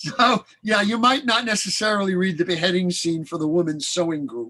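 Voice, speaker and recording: A man with a high-pitched voice speaks in a bright, sharp tone, raised and projected, with lively intonation. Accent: Brooklyn. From Brooklyn, New York (Flatbush). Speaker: author and actor. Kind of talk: casual chat.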